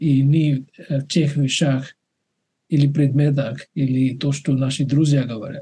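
A man with a non-native accent speaks very slowly, with long, frequent pauses and flat, monotone intonation. His voice is fairly high in pitch, somewhat breathy and dark and mellow in tone. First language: not Russian (speaking Russian). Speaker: webinar moderator, doctor; webinar moderator. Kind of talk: casual chat. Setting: video call. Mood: calm, reflective. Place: home room. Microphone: webcam.

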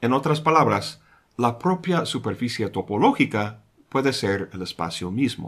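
A man talks at a fairly slow pace, his intonation lively. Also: quiet background. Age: 50s. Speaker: philosophy educator. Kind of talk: scripted narration.

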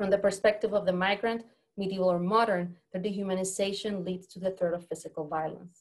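Monotone, flat delivery at a fairly quick pace with big swings in loudness. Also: woman, medium pitch for a woman, quiet background. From Puerto Rico. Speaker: professor. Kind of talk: academic talk. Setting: video call. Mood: earnest, serious. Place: office. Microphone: webcam.

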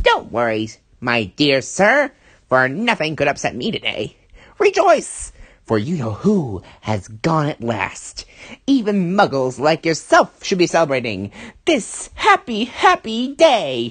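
A put-on character voice at middle pitch and a fairly slow pace. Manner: cheerful, gleeful.

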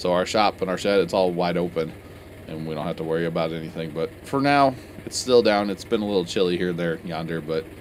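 Over light background noise, a man with a very deep, low pitch speaks at a fairly quick pace. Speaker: farmer vlogger. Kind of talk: casual vlog chat. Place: farm machine. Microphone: phone near.

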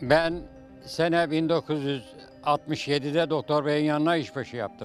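The speaker moves at a moderate pace with fairly even intonation. Faint music plays in the background, and the sound is dry with no echo. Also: man. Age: 80s+. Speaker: retired nurse. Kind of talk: casual interview answer, reminiscing. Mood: warm, nostalgic storytelling. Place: street. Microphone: handheld.

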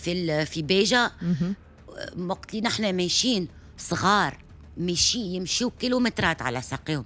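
A woman's lively, moderately paced speech in a dry sound with no echo. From Tunisia, Hammam-Lif (southern suburbs of Tunis); Tunisia. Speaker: actress. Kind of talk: radio interview. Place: studio. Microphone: studio mic.

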